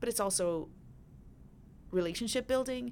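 The very clean recording captures a woman talking against a silent background. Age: 40s. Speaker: podcast host and attorney. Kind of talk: solo political commentary podcast. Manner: animated.

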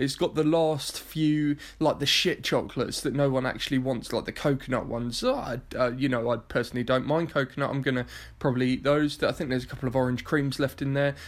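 A man with an English accent talks at a very fast pace in a fairly high, monotone, flat voice. The recording is very clean, with a silent background. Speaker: podcast host. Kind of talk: casual interview chat.

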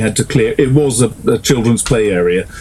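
A man's voice over noticeable background noise. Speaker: author. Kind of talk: casual chat.

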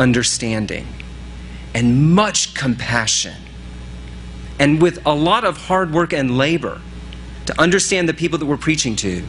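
A man's lively intonation in an American accent, over noticeable background noise. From US East Coast big city. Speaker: pastor. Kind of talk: sermon.

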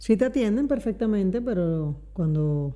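Her voice is somewhat breathy, with a dark, mellow tone, as the woman speaks. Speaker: podcast co-host. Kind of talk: casual chat.

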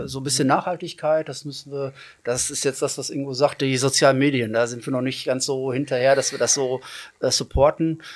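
Fairly even intonation marks this man's a plain, everyday voice. His pitch sits fairly high. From Hagen, Germany. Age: 40s. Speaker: teacher and triathlete. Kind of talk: casual chat.

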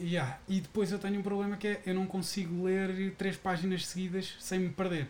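A high-pitched man speaks in a flat monotone with hardly any pauses. Noticeable background noise is present. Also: moderate pace. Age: 30s. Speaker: podcast host. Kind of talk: casual chat.

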